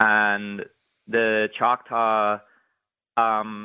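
A man speaks in a Belfast accent. His pitch is fairly low. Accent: Belfast Northern Irish. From Northern Ireland, Belfast. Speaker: history professor. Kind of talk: interview.

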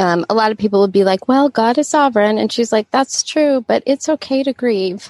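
A woman's ordinary speaking voice, lively in intonation, at a moderate pace, with a dry, close sound and no echo. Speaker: podcast host. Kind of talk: casual chat.

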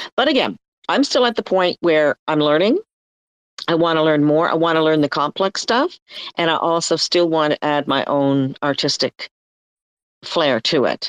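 A woman with a very deep, low pitch talks with lively intonation, leaving long, frequent pauses. Her loudness stays very even, and the sound is dry and close with no echo against a quiet background. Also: moderate pace. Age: old. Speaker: artist, former English teacher. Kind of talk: casual chat. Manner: rambling.

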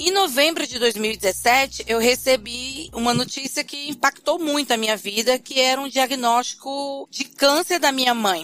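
A woman with a northeastern Brazilian accent speaks at high pitch with ordinary pitch variation, at a fairly slow pace with hardly any pauses. Background noise is noticeable. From Brazil, Fortaleza (Ceará). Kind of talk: interview.

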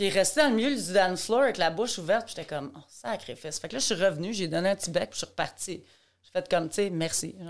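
Talking at a very fast pace, a woman with a medium pitch uses lively intonation and big swings in loudness. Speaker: ballet teacher and educator. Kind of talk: casual interview. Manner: talkative, non-stop; animated.

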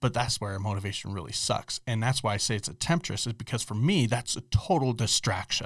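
In a very clean recording with a silent background, a man speaks fairly quickly with hardly any pauses, somewhat breathy, at a medium pitch with ordinary variation. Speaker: podcast co-host. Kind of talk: casual chat.

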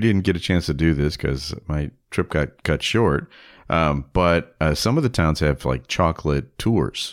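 A man with a very deep, low voice speaks fairly slowly with lively intonation and very even loudness, in a very clean recording with a silent background. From Chicago area, partly raised in Germany. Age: 60s. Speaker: author and podcaster. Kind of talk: casual chat.

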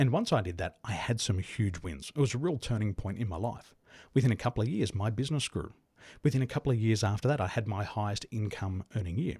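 A man with an Australian accent speaks at a very fast pace in a fairly low, somewhat breathy voice with a dark, mellow tone and ordinary pitch variation, on a very clean recording with a silent background and a dry, close sound with no echo. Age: 40s. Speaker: business coach. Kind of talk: interview.

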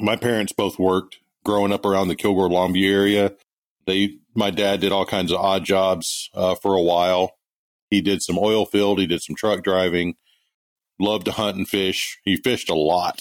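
This man speaks with an American accent at a moderate pace, his pitch fairly low and his intonation flat and monotone. His loudness stays very even, and the sound is dry and close with no echo. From East Texas. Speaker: part-time knifemaker. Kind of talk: interview. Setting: remote call.

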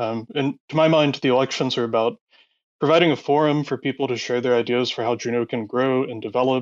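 In an unremarkable speaking voice, the speaker moves at a fairly quick pace with fairly even intonation, in a dry, close sound with no echo against a quiet background. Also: man. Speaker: nominee for ops department. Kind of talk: candidate pitch and discussion.

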